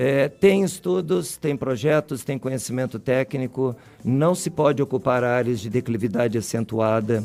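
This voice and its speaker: Lively intonation carries this speaker along at a moderate pace with hardly any pauses. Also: man, medium pitch for a man. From Rio Grande do Sul, southern Brazil. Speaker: university professor, soil scientist. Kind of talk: radio interview. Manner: hesitant, repeats words.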